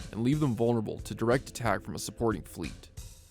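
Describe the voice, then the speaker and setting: Music plays in the background as a man speaks. His pitch varies in an ordinary way. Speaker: voice actor. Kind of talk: casual reading of game ship announcement with commentary. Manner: casual, unpolished.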